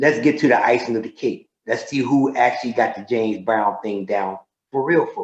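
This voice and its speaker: A plain, everyday voice moves at a fairly quick pace. Its loudness swings widely while the pitch varies in an ordinary way. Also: man, medium pitch for a man. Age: 60s. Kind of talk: casual interview chat.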